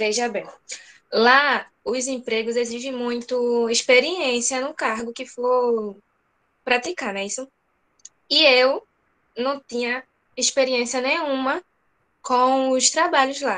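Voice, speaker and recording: A woman speaks very slowly in a high pitch, with a bright, sharp tone, fairly even intonation, and long, frequent pauses. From Brazil, Northeast (Camaragibe, Pernambuco). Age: 20s. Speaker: interviewee, former migrant. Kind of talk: interview. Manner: brief answers.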